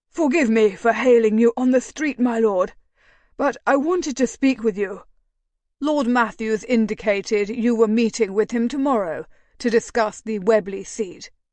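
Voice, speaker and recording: Using a put-on character voice, a woman speaks at a moderate pace with a fairly high pitch and ordinary pitch variation. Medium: read story. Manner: deferential, ingratiating.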